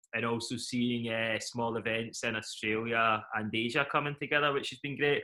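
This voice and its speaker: Here a man speaks with a Scottish accent. His pitch is medium and his pace is moderate. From Scotland, Glasgow. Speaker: event company CEO. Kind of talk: interview.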